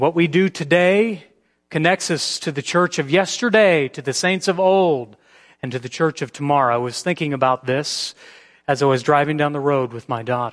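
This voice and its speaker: An unremarkable speaking voice from a man of fairly high pitch, with ordinary pitch variation, a moderate pace and a quiet background. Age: 40s. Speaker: pastor. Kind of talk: sermon.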